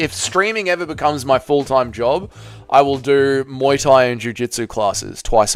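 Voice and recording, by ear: In a natural voice, a passage is read aloud.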